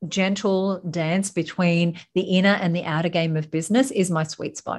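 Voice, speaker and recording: A woman speaks with an Australian accent at a fairly low pitch. Her intonation is fairly even and her pace moderate. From Sydney, Australia. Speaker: business founder and speaker. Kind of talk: casual interview chat.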